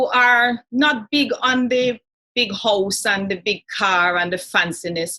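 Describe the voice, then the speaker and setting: In a Jamaican accent, the speaker goes at a fairly slow pace with lively intonation and a bright, sharp tone. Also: woman. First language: Jamaican Patois. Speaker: talk show host. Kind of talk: interview.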